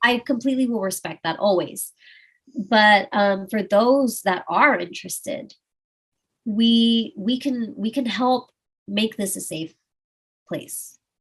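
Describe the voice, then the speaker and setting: This woman, with an American accent, sounds somewhat breathy. She talks at a very slow pace with long, frequent pauses. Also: fairly high pitch for a woman, ordinary pitch variation. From Austin, Texas. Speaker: adult content creator. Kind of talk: casual interview.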